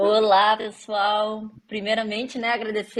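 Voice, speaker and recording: This woman's voice sits at a fairly high pitch. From Rio Grande do Sul, Brazil. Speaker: podcast host. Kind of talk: casual podcast conversation.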